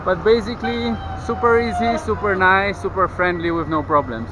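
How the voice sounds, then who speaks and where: A man speaks at a moderate pace with a high pitch. Noticeable background noise can be heard. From Poland, Kraków. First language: Polish. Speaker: travel vlogger. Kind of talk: travel vlog.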